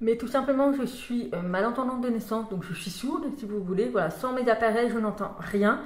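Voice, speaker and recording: Hardly pausing, a woman speaks at a moderate pace with ordinary pitch variation. Noticeable background noise and audible room echo fill the recording. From France. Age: 30s. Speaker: vlogger. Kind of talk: casual vlog talk.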